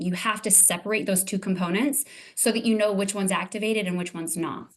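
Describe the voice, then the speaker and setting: A woman's medium-pitched voice at a very fast pace. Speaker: transformational coach. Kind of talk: interview. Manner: animated.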